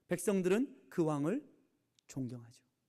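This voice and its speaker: A man's voice with very wide pitch swings. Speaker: pastor. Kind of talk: sermon. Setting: church. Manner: speeds up when time runs short.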